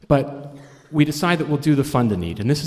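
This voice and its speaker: Fairly quick and with lively intonation, a man talks in an unremarkable speaking voice. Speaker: fundraising auctioneer and storyteller. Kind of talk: live storytelling performance. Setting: live stage, audience.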